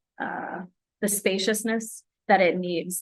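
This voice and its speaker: A soft-spoken woman talks at a medium pitch and a very slow pace. Her intonation stays monotone and flat. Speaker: museum education manager. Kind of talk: workshop instruction, conversational.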